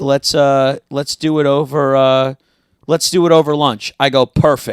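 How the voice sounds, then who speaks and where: Sounding dry and close with no echo, a man with an American accent speaks in a fairly high voice with monotone, flat intonation. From South Florida. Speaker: comedian and actor. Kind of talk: casual chat.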